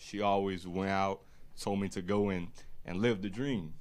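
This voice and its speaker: A man with a strong Louisiana accent speaks at a moderate pace in a fairly low pitch, his intonation fairly even. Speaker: boat captain and clothing brand founder. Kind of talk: casual chat. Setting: live stream podcast.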